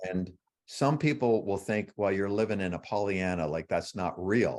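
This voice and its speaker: In a Canadian accent, a man with a plain, everyday voice and fairly low pitch speaks at a moderate pace with lively intonation on a very clean recording with a silent background. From Canada. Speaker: author. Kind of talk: interview. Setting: livestream.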